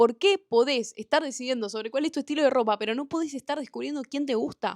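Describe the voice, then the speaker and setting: In a Rioplatense accent, a woman talks at a very fast pace in a high, animated voice with ordinary pitch variation, the sound dry and close with no echo against a quiet background. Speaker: podcast host. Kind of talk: monologue podcast.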